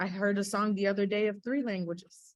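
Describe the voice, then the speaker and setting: In a plain, everyday voice, a woman talks at a moderate speed. Her pitch sits in the medium range. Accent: American. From Winter Park, Florida, US. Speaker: music industry professional. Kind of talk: panel webinar conversation. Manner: casual, filler-heavy.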